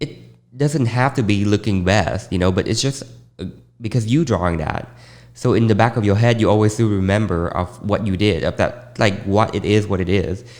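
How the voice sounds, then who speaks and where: In a Vietnamese accent, a man speaks at a fairly low pitch. His pace is moderate and his pitch variation ordinary. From Vietnam, Ho Chi Minh City. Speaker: fashion designer. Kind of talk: interview.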